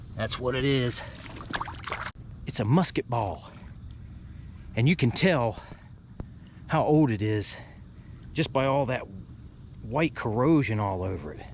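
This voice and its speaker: Over noticeable background noise, a man with a medium pitch speaks with lively intonation and long, frequent pauses. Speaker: artifact hunter and video host. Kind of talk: casual solo commentary while searching outdoors.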